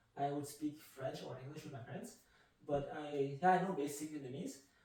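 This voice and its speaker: Ordinary pitch variation in a man's fairly high voice, with audible room echo and noticeable background noise. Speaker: marathon runner. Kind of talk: podcast interview.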